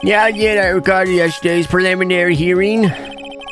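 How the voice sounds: Intonation runs fairly even in a natural reading voice.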